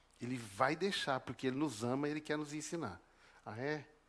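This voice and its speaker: The background is silent and the recording very clean. It's a man talking. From southern Brazil, northern Paraná (Apucarana). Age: 50s. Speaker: preacher. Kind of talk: sermon.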